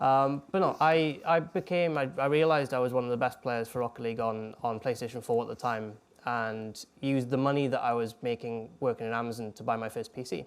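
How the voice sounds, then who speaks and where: A man at medium pitch talks at a fairly quick pace with hardly any pauses and ordinary pitch variation, in a very clean recording with a silent background. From Wales. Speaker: ex-professional esports player and coach. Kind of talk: talk to students.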